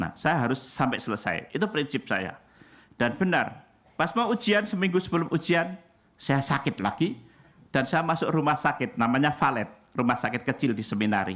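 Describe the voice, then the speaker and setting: The recording is very clean, with a silent background. A man speaks at a moderate pace with a fairly high pitch and very wide pitch swings. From Indonesia, Central Java. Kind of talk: sermon.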